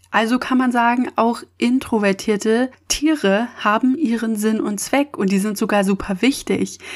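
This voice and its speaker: With a plain, everyday voice, a woman speaks at a fairly high pitch with ordinary pitch variation. Her pace is fairly slow, with hardly any pauses. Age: 20s. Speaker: podcast host. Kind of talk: solo monologue podcast.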